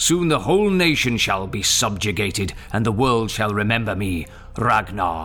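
Music plays behind a man speaking at a moderate pace. His pitch is fairly low and his intonation lively. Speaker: voice actor playing a character. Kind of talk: full-cast saga performance.

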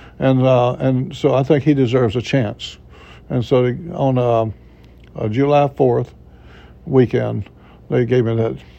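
Speaking with a Florida panhandle accent, a man uses a medium pitch, a dark, mellow tone, fairly even intonation, and a fairly slow pace with long, frequent pauses. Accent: Southern US (Florida panhandle). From Florida panhandle, US South. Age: 70s. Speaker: retired pastor. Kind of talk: interview, personal testimony. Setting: studio.

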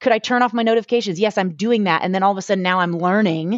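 Speaking at a fairly quick pace, a woman sounds animated, with ordinary pitch variation. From Boston. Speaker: mindfulness coach. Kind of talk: casual interview.

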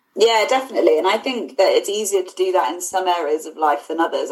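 A woman talks with a southern English accent. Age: 20s. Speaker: fundraiser. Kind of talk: casual chat.

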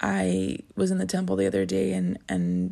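The very clean recording, its background silent, captures a woman speaking. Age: 30s. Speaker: religious podcast host. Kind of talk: casual devotional monologue. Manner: halting, frequent fillers.

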